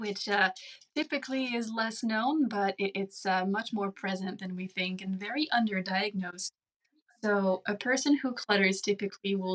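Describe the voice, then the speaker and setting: Speaking fairly slowly at a medium pitch, a woman with a French Canadian accent uses ordinary pitch variation. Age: 30s. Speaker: speech-language pathologist. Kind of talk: interview. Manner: deliberately slowed, controlled.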